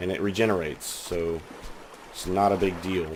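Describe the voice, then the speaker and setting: The man's pitch is very deep and low, heard against noticeable background noise. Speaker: gaming commentator. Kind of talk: casual gameplay commentary.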